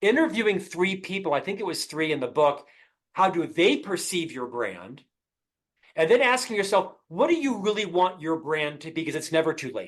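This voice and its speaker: A man talks at a moderate pace. His high-pitched voice has lively intonation. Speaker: podcast guest, author. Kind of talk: interview conversation. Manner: loud, intense when passionate; articulate, well-spoken.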